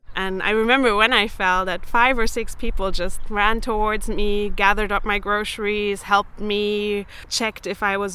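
Recorded very cleanly over a silent background, a woman with a German accent speaks at a moderate pace in a bright, sharp tone and medium pitch. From Germany, Berlin. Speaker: researcher. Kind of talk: interview testimony.

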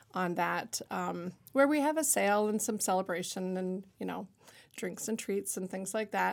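A woman speaks at a medium pitch in a plain, everyday voice. The recording is very clean with a silent background. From Ontario, Canada (Niagara-on-the-Lake). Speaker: artist and shop owner. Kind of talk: casual interview. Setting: studio.

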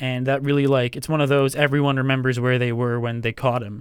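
In a normal speaking voice, a man talks at a fairly quick pace with a medium pitch and fairly even intonation, captured on a very clean recording with a silent background. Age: 20s. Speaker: student podcast co-host. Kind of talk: casual chat. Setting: campus radio studio.

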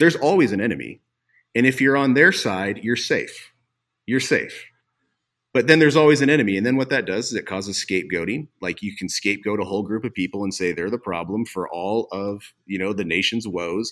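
A man speaks in an unremarkable speaking voice, fairly low in pitch, with lively intonation at a fairly quick pace. The recording is very clean, with a silent background. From Montana, US. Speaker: pastor. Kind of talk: casual chat.

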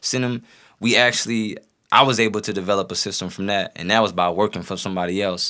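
Recorded very cleanly against a silent background, a man with an American accent speaks very fast in a bright, sharp tone, with fairly low pitch and fairly even intonation. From North St. Louis, Missouri. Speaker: rapper. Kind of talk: casual chat.

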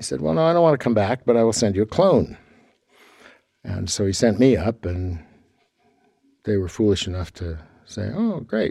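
Speaking with an American accent, a man has a fairly low pitch and a dark, mellow tone. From California, Sacramento. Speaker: theatre designer and professor. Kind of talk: interview. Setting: theatre on campus.

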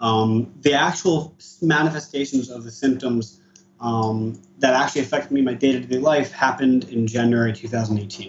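A man with an American accent in an ordinary speaking voice, at medium pitch and a moderate pace with fairly even intonation. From US East Coast. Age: 20s. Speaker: cannabis user with PTSD. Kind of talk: personal testimony.

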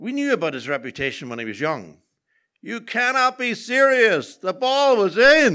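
On a very clean recording with a silent background, a man uses a raised, projected voice with a bright, sharp tone and a high pitch. He moves at a moderate pace with very wide pitch swings and big swings in loudness. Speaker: storyteller. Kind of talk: live storytelling, personal anecdote. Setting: stage with audience.

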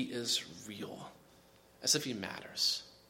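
A man's bright, sharp voice with very wide pitch swings, a fairly slow pace and audible room echo. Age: 30s. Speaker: pastor. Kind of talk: sermon.

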